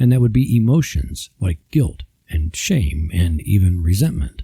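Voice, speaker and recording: A man speaks in a dark, mellow, somewhat breathy voice with very wide pitch swings, recorded dry and close with no echo. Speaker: podcast host. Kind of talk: devotional talk.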